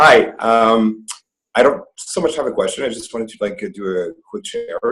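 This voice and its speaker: A man talks at a moderate pace in a Quebec accent. His loudness swings widely. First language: French. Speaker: webinar participant. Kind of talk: casual share. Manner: halting, many fillers.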